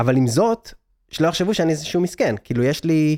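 A man's dark, mellow voice with lively intonation, in a dry, close sound with no echo. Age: 30s. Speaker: digital nomad entrepreneur and speaker. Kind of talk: interview. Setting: studio.

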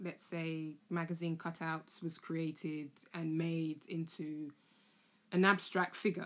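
The speaker has a London accent. The pace is fairly slow. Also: woman. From London (Tottenham). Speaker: art educator, podcast host. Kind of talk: solo monologue, casual explainer. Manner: casual, chatty.

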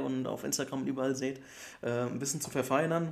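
The speaker here is a man whose pitch is medium. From Germany, Bergstraße district (southern Hesse). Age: 20s. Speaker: football podcast co-host. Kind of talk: casual chat.

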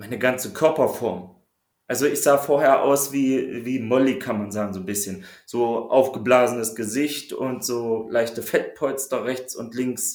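A man with a medium-pitched voice speaks at a fairly slow pace, using ordinary pitch variation. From Saxony-Anhalt, Harz region. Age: 30s. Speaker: coaching client. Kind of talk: casual interview.

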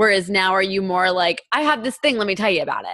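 A woman with a normal speaking voice at a medium pitch, ordinary pitch variation and a fairly quick pace, in a very clean recording with a silent background. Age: 20s. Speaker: podcast host and teacher. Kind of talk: casual interview chat.

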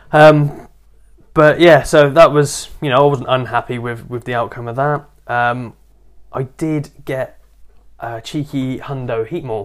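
Speaking at a fairly slow pace, a man with a medium pitch keeps his intonation fairly even while his loudness swings widely. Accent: rural English. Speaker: podcast co-host. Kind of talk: casual chat. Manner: clear.

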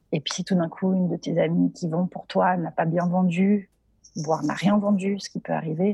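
This woman talks at a moderate pace. There is a somewhat breathy quality to her voice. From Geneva, Paris and southern France. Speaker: entrepreneur. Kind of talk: interview. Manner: hesitant, many repetitions.

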